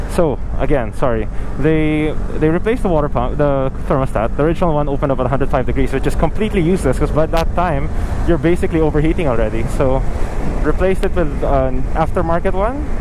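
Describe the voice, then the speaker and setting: A man at a very fast pace, loudness very even, dry sound with no echo, noticeable background noise. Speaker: motorcycle rider vlogger. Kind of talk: casual vlog chat. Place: motorbike. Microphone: helmet.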